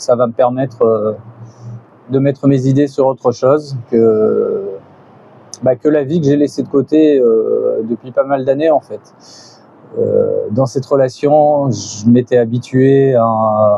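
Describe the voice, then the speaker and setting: Speaking at a very slow pace, a man leaves long, frequent pauses. His pitch is medium and his intonation fairly even. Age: 50s. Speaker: beginner YouTuber, vlogger. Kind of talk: personal vlog monologue. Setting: outdoors on a balcony. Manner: halting, many hesitations.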